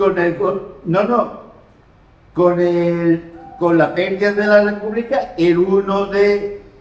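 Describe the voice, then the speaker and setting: A man speaks at a very slow pace in a high voice. Noticeable background noise and audible room echo fill the recording. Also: fairly even intonation. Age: 60s. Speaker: audience member. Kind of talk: audience discussion. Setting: public hall meeting.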